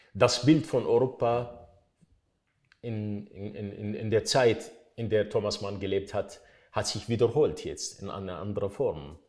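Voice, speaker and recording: A man speaks in an Arabic accent at a very slow pace. His loudness swings widely against a quiet background. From Iraq. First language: Arabic (speaking German). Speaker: writer; interviewee. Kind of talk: interview statements. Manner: halting, repeating words. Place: hall.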